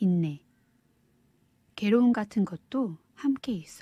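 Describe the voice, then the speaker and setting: Somewhat breathy and soothing, a woman's voice carries a dark, mellow tone. She speaks very slowly with lively intonation. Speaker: audiobook reader. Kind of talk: audiobook reading, ASMR-style soothing narration. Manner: soft-spoken, soothing.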